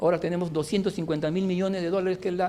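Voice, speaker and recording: This man's voice is high-pitched with fairly even intonation. He talks at a very fast pace. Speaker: civil engineer, former minister giving a lecture. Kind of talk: lecture.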